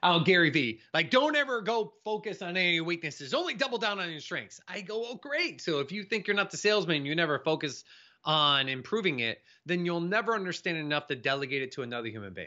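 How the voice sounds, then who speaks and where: This man speaks at a high pitch and a very fast pace. His pitch swings very widely. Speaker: entrepreneur and sales expert. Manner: fast talker.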